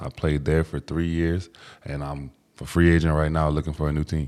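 With an American accent, a man speaks at a fairly quick pace in a very deep, low pitch and a monotone, flat intonation. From Washington, D.C. area. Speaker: professional football player and entrepreneur. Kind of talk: casual interview chat.

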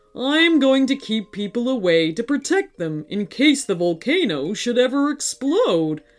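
The voice is a put-on character with a fairly high pitch and very wide pitch swings. It moves at a moderate pace with hardly any pauses. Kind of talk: bedtime story. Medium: read story. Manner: roaring, blustering, softening to sadness.

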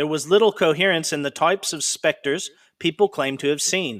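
With an unremarkable speaking voice, a man talks at a moderate pace and a fairly high pitch, with ordinary pitch variation, on a very clean recording with a silent background. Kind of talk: true-crime horror narration. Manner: solemn, eerie, building suspense.

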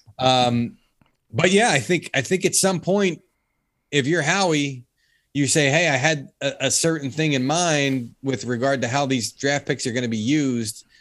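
Here is a man with an ordinary speaking voice, a fairly high pitch and ordinary pitch variation. He talks at a moderate pace in a very clean recording with a silent background. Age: 40s. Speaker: NFL football reporter. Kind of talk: casual sports interview.

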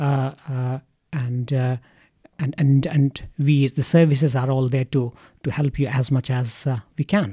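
At a fairly slow pace, a man with an Indian accent and medium pitch talks in a dark, mellow, somewhat breathy tone with fairly even intonation, in a dry, close sound with no echo. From India, Ranchi. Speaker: psychiatrist. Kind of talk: interview. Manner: halting.

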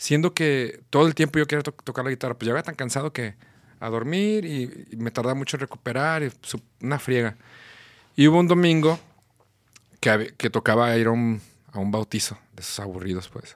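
A man speaks at a moderate pace with a medium pitch, lively intonation and big swings in loudness, pausing long and often. The recording is very clean with a silent background and a dry, close sound with no echo. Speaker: musician and composer. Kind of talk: casual chat.

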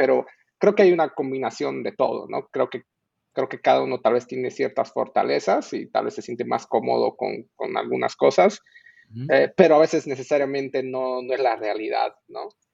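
The sound is dry and close with no echo as a man delivers his words at a moderate pace. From Bolivia. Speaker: software engineering manager. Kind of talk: casual chat.

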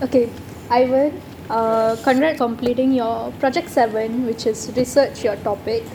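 A high-pitched woman's voice with fairly even intonation over noticeable background noise. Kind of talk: farewell speech.

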